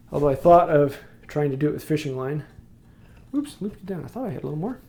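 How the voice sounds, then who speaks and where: Talking very fast in an American accent, this somewhat breathy voice has a dark, mellow tone, ordinary pitch variation and big swings in loudness. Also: man, fairly high pitch for a man. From Wisconsin. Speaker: woodworking youtuber. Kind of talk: live stream tutorial with chat. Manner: casual, halting.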